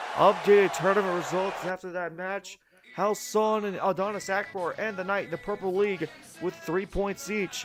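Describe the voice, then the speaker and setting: A man's high voice at a moderate pace, with ordinary pitch variation and music in the background. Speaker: wrestling commentator. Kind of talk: sports commentary, play-by-play.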